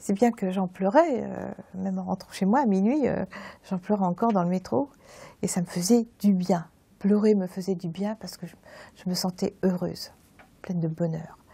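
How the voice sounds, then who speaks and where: At a moderate pace, a woman speaks in a somewhat breathy, dark, mellow voice of medium pitch, with big swings in loudness and long, frequent pauses. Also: ordinary pitch variation. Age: 70s. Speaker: churchgoer giving testimony. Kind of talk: testimony. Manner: halting.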